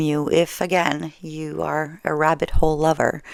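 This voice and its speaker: A woman with a French Canadian accent speaks at a fairly slow pace. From French Canada. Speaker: storyteller. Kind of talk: casual talk to camera. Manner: relaxed, conversational, with hesitations.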